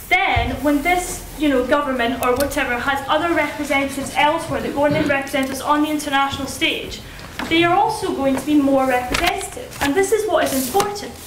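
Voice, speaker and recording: A woman at a high pitch, talking at a fairly quick pace with ordinary pitch variation, over noticeable background noise. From Scotland, Dundee. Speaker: student debater. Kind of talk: debate speech. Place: hall. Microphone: camera far.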